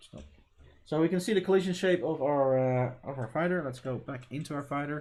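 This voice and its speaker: A man with a non-native accent, fairly high pitch and lively intonation, on a very clean recording with a silent background. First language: not English. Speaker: game developer streamer. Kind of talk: live coding stream. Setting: live stream. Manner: casual, thinking aloud.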